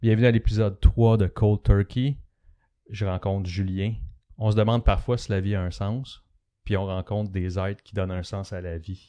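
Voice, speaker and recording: In a Quebec accent, a man with a dark, mellow tone and fairly low pitch speaks with fairly even intonation and big swings in loudness, on a very clean recording with a silent background. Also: moderate pace. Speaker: podcast host. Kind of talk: interview. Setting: studio.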